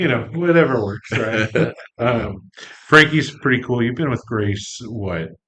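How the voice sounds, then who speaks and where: With a plain, everyday voice, a man talks at a fairly slow pace and medium pitch, his intonation lively. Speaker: podcast host. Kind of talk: casual podcast talk.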